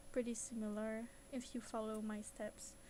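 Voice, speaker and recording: Her accent is non-native. This woman talks at a fairly slow speed. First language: not English. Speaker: 3D animation content creator. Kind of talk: live-streamed software tutorial. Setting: live stream. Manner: hesitant, with fillers.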